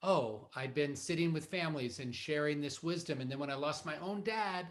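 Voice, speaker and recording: A man with a plain, everyday voice speaks at a moderate pace and a fairly high pitch, with ordinary pitch variation. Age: 50s. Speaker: rabbi. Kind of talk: interview conversation.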